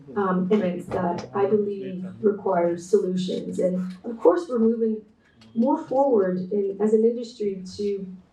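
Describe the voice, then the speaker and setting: Amid noticeable background noise and audible room echo, a woman speaks at a medium pitch with ordinary pitch variation. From Canada. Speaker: textile artist and designer, keynote speaker. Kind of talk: conference presentation. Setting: remote talk joining online. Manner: hesitant with frequent fillers and repetitions.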